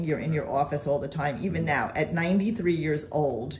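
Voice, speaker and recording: A woman with a very deep, low pitch talks at a fairly quick pace against noticeable background noise. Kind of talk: casual interview questions.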